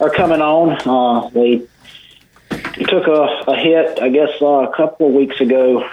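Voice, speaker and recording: Fairly slow and fairly high in pitch, a man speaks with fairly even intonation. It is a normal speaking voice. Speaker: extension agent. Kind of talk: radio interview about gardening.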